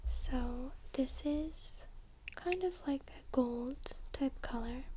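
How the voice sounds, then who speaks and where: A soft-spoken, calm woman at a very slow pace, with big swings in loudness and noticeable background noise. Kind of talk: soft-spoken ASMR craft tutorial. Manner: soft-spoken, calm, slow.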